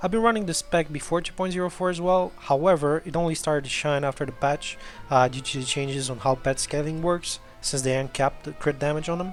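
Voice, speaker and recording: A man speaks at a very fast pace in a fairly high pitch, with music playing in the background. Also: ordinary pitch variation. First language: not English. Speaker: video game player. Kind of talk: video game guide narration. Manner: casual, conversational.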